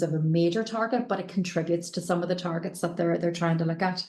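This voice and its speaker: In a Northern Irish accent, a woman speaks with a fairly low pitch and a somewhat breathy quality. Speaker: company director, panel expert. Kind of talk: panel webinar discussion. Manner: hesitant, many fillers and repetitions.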